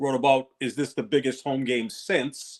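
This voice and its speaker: A man with a fairly high pitch uses a plain, everyday voice and keeps a moderate pace. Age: 60s. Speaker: sports podcast co-host. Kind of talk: casual sports talk.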